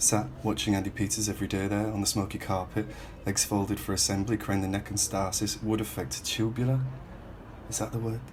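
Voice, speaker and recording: Fairly quick speech from a man, fairly low in pitch, its variation ordinary. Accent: Hull. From Northern England. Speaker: writer, poet. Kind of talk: spoken word poetry reading.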